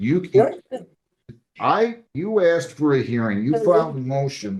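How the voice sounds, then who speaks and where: A loud man's voice, fairly high in pitch, with very wide pitch swings. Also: fairly slow pace. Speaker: judge. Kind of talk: court hearing. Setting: courtroom.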